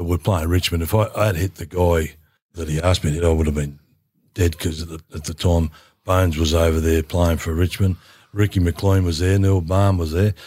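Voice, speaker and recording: In a very clean recording with a silent background, a voice with an Australian accent, dark and mellow in tone and somewhat breathy, moves at a fairly quick pace with monotone, flat intonation. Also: man, very deep, low pitch for a man. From rural Victoria, Australia. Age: 70s. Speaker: former footballer. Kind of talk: casual interview chat.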